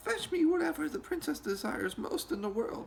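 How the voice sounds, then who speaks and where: A put-on character voice with very wide pitch swings, a fairly quick pace and clear background noise. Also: man, extremely high pitch for a man. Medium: read story.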